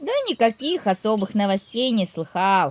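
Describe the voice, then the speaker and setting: In a put-on character voice, a woman speaks at a medium pitch. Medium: read story. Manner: cheeky, self-satisfied.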